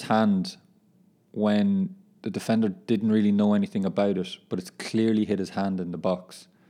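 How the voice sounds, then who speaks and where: A man with an Irish accent speaks at a fairly low pitch in a dark, mellow tone, on a very clean recording with a silent background. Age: 20s. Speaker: footballer and podcaster. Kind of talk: casual monologue. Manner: animated.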